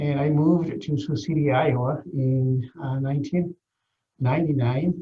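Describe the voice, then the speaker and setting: This man has a fairly high-pitched, somewhat breathy voice. He talks at a fairly slow pace. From Guatemala, northern Maya territory. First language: Maya language. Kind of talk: interview. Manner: hesitant, many fillers.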